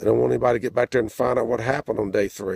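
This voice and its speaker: There is vocal fry in this man's dark, mellow tone. He speaks at a medium pitch. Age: 60s. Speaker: activist. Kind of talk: video message. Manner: informal, hesitant with fillers.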